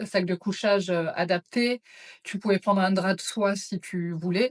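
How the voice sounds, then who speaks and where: Recorded with a dry, close sound and no echo, a woman with an unremarkable speaking voice talks at a medium pitch, fairly slowly and with fairly even intonation. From France, Auvergne (Clermont-Ferrand). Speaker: psychiatric nurse, trek participant. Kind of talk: interview.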